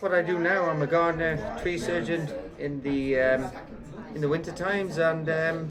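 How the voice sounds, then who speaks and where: At a moderate pace, a man talks in a high voice. Audible room echo and noticeable background noise accompany him. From Netherlands. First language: Dutch. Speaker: gardener and tree surgeon. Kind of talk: casual interview chat.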